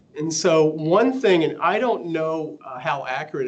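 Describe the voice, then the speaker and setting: Lively intonation marks a man's fairly high-pitched voice. Room echo is audible. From US South. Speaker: radiology professor. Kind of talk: lecture.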